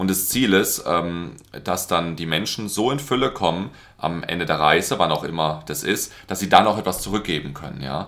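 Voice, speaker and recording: A man talks at a moderate pace with lively intonation. His pitch is very deep and low. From Baden, Germany (Karlsruhe). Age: 30s. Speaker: business coach. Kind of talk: casual interview chat. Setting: in a home apartment.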